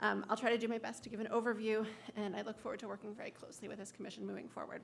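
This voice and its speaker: Speaking at a very fast pace, a woman with a fairly high pitch is heard over noticeable background noise. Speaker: suicide prevention coalition director. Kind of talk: public testimony. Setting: public hearing.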